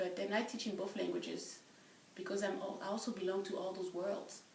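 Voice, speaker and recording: Speaking with a French accent, a woman comes through with audible room echo and noticeable background noise. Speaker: French professor. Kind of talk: interview.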